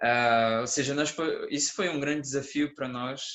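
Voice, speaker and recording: A man speaks with ordinary pitch variation. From Brazil. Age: 20s. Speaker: conference speaker, engineering student. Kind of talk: conference talk as a couple. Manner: calm.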